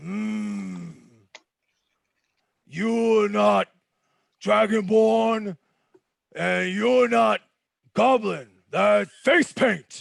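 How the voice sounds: A man's put-on character voice, high-pitched, at a very slow pace with long, frequent pauses.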